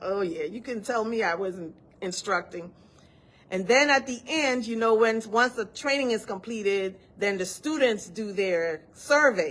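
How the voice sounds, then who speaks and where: In a Virgin Islands accent, a woman speaks with a fairly high pitch. Her pace is fairly slow and her intonation lively. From US Virgin Islands. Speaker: study group instructor. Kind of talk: live online study session talk. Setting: live video session.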